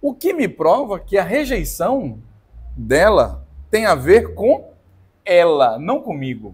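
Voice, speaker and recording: This loud voice moves through very wide pitch swings. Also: man. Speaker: podcast co-host. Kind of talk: casual chat.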